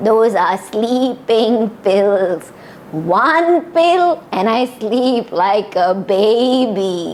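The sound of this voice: A woman uses a put-on character voice that sounds shaky. She speaks at a very slow pace over clear background noise. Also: fairly high pitch for a woman.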